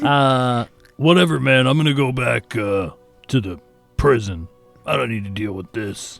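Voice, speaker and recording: A man puts on a character voice at a medium pitch and moderate pace, with long, frequent pauses and faint music in the background. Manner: dismissive, annoyed.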